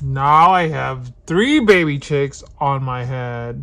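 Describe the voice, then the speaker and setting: The speaker uses a put-on character voice at a low-to-middle pitch. The pace is very slow. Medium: read story. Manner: fretful, questioning.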